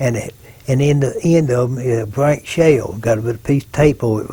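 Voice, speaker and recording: This man has an Arkansas accent and a medium pitch. He speaks at a moderate pace with fairly even intonation. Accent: Southern US, Arkansas. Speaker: war veteran. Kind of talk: oral history interview. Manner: halting.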